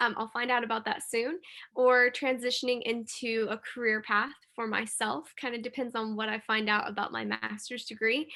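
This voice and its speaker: Speaking at a moderate pace with an American accent, a woman has a fairly high pitch, a bright, sharp tone and fairly even intonation over a quiet background. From US Midwest (Illinois, small town). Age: 20s. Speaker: university student. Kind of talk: interview.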